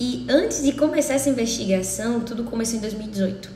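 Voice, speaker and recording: Noticeable background noise and audible room echo fill the recording. Through them, a woman speaks. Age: 30s. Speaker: interviewee sharing illness experience. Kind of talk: testimony.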